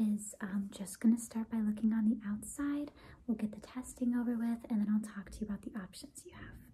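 A woman speaks at a fairly quick pace in a soft-spoken, gentle tone that is dark, mellow and somewhat breathy. Her intonation stays fairly even. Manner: soft-spoken, gentle ASMR doctor voice. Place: home room. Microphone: phone near.

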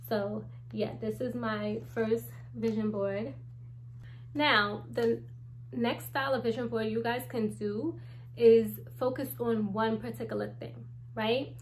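With light background noise behind her, a woman with an American accent speaks at a very slow pace, leaving long, frequent pauses. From US Northeast, Brooklyn, New York; New York. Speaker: YouTuber, manifestation coach; manifestation coach. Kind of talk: casual tutorial vlog. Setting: home. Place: home room. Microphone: phone near.

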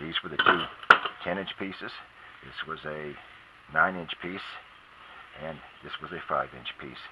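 Loud background noise runs under this clip. Over it, a man talks at a moderate pace. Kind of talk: tutorial. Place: garden.

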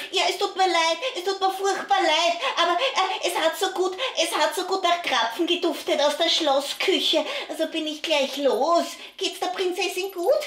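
This cartoonish character voice is pitched extremely high and moves at a moderate pace. Clear background noise can be heard. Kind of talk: children's puppet show. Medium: puppet.

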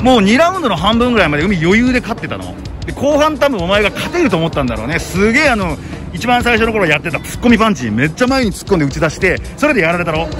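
Against clear music in the background, a man talks very fast at a high pitch, the sound dry with no echo. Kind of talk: casual post-fight feedback chat. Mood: proud, gently coaching. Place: street. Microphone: phone near.

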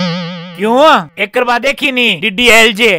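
A man's raised, projected voice with lively intonation, a dry sound without echo, and music playing in the background. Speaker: actor in comedy skit. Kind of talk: scripted comedic dialogue, reading a letter. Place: open country.

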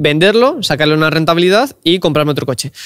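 A man's high voice at a fairly quick pace, with ordinary pitch variation, a dry sound with no echo, and a quiet background. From Cantabria, Spain. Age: 20s. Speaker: car content creator; podcast guest. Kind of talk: casual interview chat. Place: studio. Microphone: studio mic.

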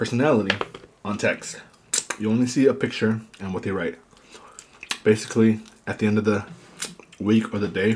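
Over light background noise, a man with a plain, everyday voice talks at a fairly quick pace in a fairly low pitch, his intonation fairly even. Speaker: eating show host. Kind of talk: casual mukbang chat. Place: home room. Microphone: studio mic.

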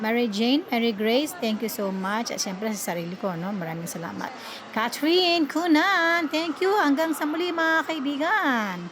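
The pitch swings very widely. Noticeable background noise runs throughout. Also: woman, high pitch for a woman, moderate pace. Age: 60s. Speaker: vlogger. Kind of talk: casual vlog narration. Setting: outdoors at a café. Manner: polite, uses 'po' often.

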